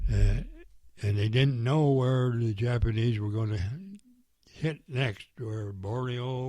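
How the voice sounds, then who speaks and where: At a very slow pace, a man with a medium pitch and a dark, mellow tone speaks with fairly even intonation and big swings in loudness, while audible room echo fills the space. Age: 90s. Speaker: war veteran. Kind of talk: oral history interview. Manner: halting.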